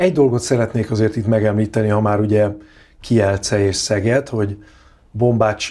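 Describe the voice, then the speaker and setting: With a quiet background, a man speaks at a moderate pace in a dark, mellow tone, fairly low in pitch with fairly even intonation. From Hungary. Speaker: handball pundit. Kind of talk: casual chat. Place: studio. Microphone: lapel.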